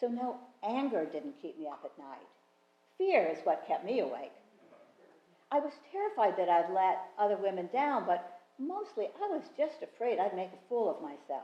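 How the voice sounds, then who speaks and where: Audible room echo surrounds a woman's fairly high voice at a moderate pace. Her pitch swings very widely and her loudness shifts a lot. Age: 70s. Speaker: storyteller. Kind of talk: personal storytelling. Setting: stage with audience.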